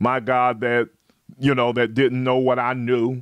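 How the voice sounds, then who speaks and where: A man is speaking. The sound is dry with no echo over a quiet background. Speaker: preacher. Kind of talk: live-streamed sermon with call-and-response. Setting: online livestream. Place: home room. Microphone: studio mic.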